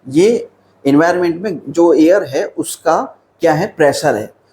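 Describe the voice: A man's fairly high voice carries a slightly mellow tone and a slightly husky edge.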